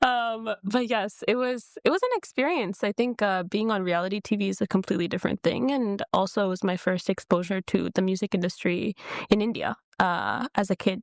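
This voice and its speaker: With an American accent and a plain, everyday voice, a woman talks at a fairly quick pace and medium pitch, with ordinary pitch variation, in a dry, close sound with no echo. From US Midwest, Detroit, Michigan. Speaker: singer and dancer. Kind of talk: podcast interview.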